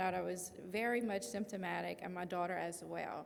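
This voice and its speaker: A woman speaks with a Louisiana accent. Her pace is moderate. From Louisiana (Lafayette area). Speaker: patient advocate and parent. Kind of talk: presentation.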